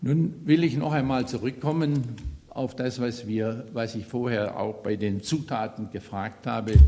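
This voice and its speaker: A man talks at a fairly slow pace at a medium pitch, with ordinary pitch variation. Audible room echo and noticeable background noise come through. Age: 70s. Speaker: lay preacher. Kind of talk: sermon. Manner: halting, with fillers and repetitions.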